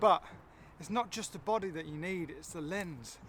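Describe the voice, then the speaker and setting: Using a raised, projected voice, a man speaks with ordinary pitch variation. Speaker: photography vlogger. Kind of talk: casual tutorial vlog.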